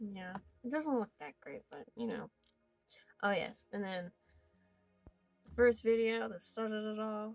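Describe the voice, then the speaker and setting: Music plays behind a woman who talks fairly slowly. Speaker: amateur artist. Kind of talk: casual sketchbook tour narration. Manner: casual, rambling.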